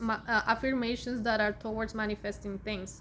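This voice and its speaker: A speaker with a Spanish accent talks in a monotone, with flat intonation. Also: woman. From Colombia (Bogota). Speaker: spiritual content creator, Akashic Records reader. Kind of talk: casual vlog talk. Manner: halting, many fillers.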